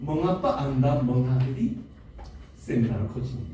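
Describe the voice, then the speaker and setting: Very slow speech from a man at medium pitch, amid noticeable background noise and audible room echo. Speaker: seminar speaker. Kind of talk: seminar talk. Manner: halting.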